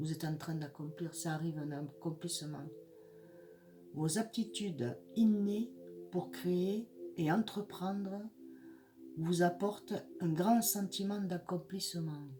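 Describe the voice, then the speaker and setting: A woman with a fairly low pitch and ordinary pitch variation, very slow with long, frequent pauses, over noticeable background noise. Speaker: psychic tarot reader. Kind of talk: horoscope tarot reading. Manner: halting, many hesitations.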